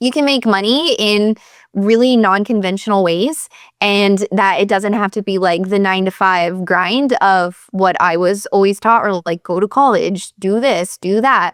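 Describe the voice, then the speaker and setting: A woman with an American accent at a medium pitch and fairly slow pace, ordinary pitch variation, very even loudness, and a dry, close sound with no echo in a very clean recording with a silent background. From Pennsylvania, US. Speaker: chiropractor and business coach. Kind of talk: interview.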